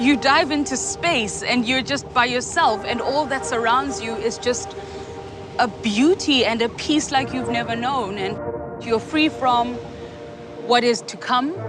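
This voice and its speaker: With music in the background and audible room echo, a woman with a South African accent talks at a fairly slow pace in a high pitch and lively intonation. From South Africa, Soweto (Johannesburg). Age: 30s. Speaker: free diver. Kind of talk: documentary interview.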